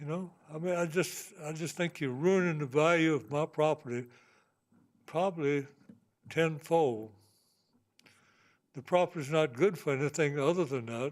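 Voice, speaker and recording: A man's fairly high voice in a Virginia accent, at a moderate pace with ordinary pitch variation and long, frequent pauses. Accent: rural Virginia Southern. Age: 80s+. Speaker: landowner giving public comment. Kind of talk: public comment at meeting. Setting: public meeting.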